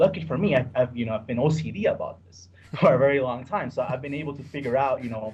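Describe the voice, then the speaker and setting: Somewhat breathy and fairly high in pitch, a man speaks at a very fast pace with ordinary pitch variation and big swings in loudness. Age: 30s. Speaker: sports bettor. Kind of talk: podcast interview.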